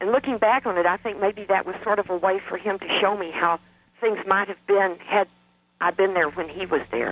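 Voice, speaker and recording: Pitched high, a man talks at a moderate speed, his pitch varying in an ordinary way. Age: 50s. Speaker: caller. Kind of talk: testimony. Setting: phone call. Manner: halting.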